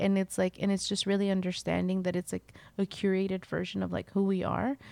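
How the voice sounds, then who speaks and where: A woman with a dark, mellow tone and medium pitch speaks at a fairly quick pace. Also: dry, close sound with no echo. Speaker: textile artist. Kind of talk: casual chat. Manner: laughs often.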